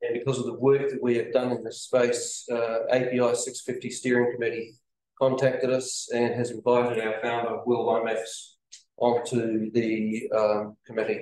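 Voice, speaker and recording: This man's medium-pitched voice stays flat and monotone throughout. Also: moderate pace. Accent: New Zealand. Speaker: company representative presenting engineering product. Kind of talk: business presentation.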